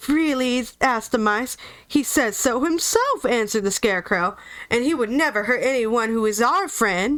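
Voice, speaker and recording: With an American accent, the speaker uses lively intonation. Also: woman, very even loudness. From US South, Georgia. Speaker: audiobook reader, streamer. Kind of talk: casual chat; live reading aloud.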